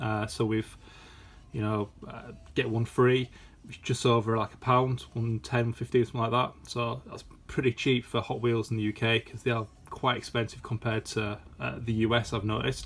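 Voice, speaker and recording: A man with a British accent talks at a moderate pace and medium pitch, somewhat breathy and flat, monotone in intonation. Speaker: toy collector YouTuber. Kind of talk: casual unboxing video. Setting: at home. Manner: hesitant, many fillers.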